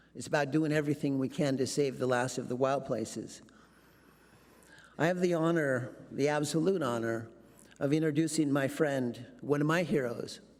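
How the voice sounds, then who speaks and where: A man with a fairly high voice speaks at a moderate pace, his intonation fairly even. Long, frequent pauses break up his speech, and the room echo is audible. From Alaska. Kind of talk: speech introduction. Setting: conference stage with audience.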